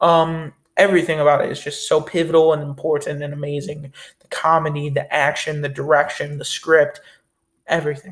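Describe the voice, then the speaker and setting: A man speaks fairly quickly at a fairly high pitch in a somewhat breathy voice. His intonation is monotone and flat, while his loudness swings widely. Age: young. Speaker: film review youtuber. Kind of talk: casual monologue.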